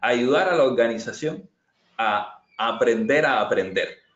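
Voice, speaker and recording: A man with a Cuban accent talks at a fairly slow pace. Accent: noticeable Cuban. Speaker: agile transformation consultant. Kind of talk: webinar presentation and Q&A. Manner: hesitant, many fillers and repetitions.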